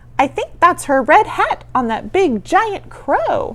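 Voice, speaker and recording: Putting on a squeaky character voice, a woman speaks at an extremely high pitch with very wide pitch swings at a fairly slow pace over light background noise. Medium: read story.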